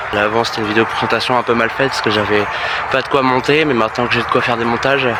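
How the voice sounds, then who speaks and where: A man with a medium pitch keeps his intonation fairly even while background noise is noticeable. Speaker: aspiring explorer vlogger. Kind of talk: casual vlog. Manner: halting, many hesitations.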